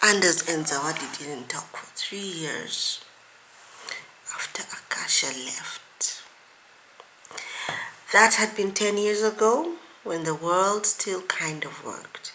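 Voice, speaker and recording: A woman's husky whispering in a put-on character voice, at a fairly slow pace with big swings in loudness. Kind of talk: audiobook reading of a romance novel. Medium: read story. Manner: dry, wry narration.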